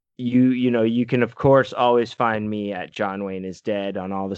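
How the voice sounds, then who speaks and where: Here a man talks with a plain, everyday voice at a moderate pace. His pitch is fairly low and his intonation fairly even. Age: 40s. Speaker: podcast co-host. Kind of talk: casual chat.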